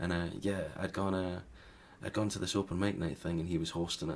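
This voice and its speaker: The pace is fairly quick. The speaker has a Scottish accent. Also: man. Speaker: singer-songwriter. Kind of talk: interview answer. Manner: casual, conversational.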